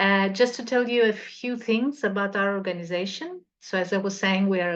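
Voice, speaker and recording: A woman speaks fairly quickly at a medium pitch with a Portuguese accent. Her pitch varies in an ordinary way. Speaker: cultural association representative. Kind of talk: presentation.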